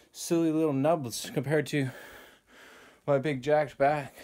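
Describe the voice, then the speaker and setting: Fairly even intonation from a man. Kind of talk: rep counting and casual vlog chat.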